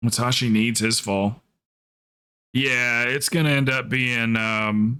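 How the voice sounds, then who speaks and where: Speaking at a very slow pace with very even loudness, a man with an American accent uses a medium pitch, fairly even intonation and a bright, sharp tone. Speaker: video game streamer and coach. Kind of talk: casual livestream chat. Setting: livestream. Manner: casual, conversational.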